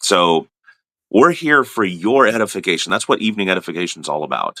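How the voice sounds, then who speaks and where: A man with a very deep, low pitch and a bright, sharp tone speaks fairly quickly, his pitch swinging very widely. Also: dry, close sound with no echo. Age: old. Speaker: ministry host. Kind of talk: casual chat. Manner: halting.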